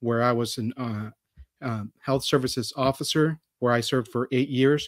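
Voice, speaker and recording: In a normal speaking voice with an American accent, a man speaks at a medium pitch and moderate pace, the sound dry and close with no echo in a very clean recording over a silent background. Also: fairly even intonation. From Texas. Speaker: political candidate; physician and Army veteran. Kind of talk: campaign forum opening statement.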